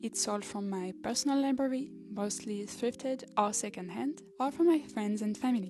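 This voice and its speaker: In a French accent, the speech moves at a moderate pace with hardly any pauses and ordinary pitch variation. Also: woman, fairly high pitch for a woman. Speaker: podcast host. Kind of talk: podcast introduction, partly scripted monologue.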